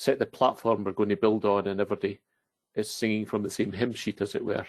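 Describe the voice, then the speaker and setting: A man with a Scottish accent, the sound dry and close with no echo. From Scotland. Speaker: database consultant. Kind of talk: technical presentation.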